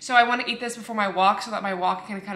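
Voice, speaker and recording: A woman talks at a very fast pace with fairly even intonation. There is audible room echo. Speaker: fitness vlogger. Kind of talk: casual vlog chat. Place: kitchen. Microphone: phone near.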